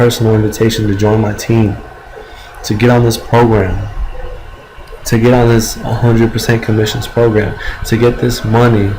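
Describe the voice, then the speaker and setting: A man's medium-pitched, monotone, flat voice at a moderate pace, with noticeable background noise and audible room echo. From Mexico. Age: 20s. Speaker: network marketer. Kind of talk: motivational pitch.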